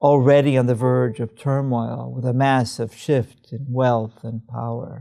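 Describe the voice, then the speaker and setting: A man of medium pitch speaks fairly slowly with a dark, mellow tone and fairly even intonation on a very clean recording with a silent background. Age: 70s. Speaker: investment analyst. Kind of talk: sales pitch. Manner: dramatic.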